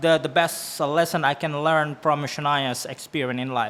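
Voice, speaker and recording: At a moderate pace, a man with an Indonesian accent talks in a fairly high voice with ordinary pitch variation. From Indonesia, Bangka Island. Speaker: singer-songwriter. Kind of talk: interview. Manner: halting, many fillers and restarts.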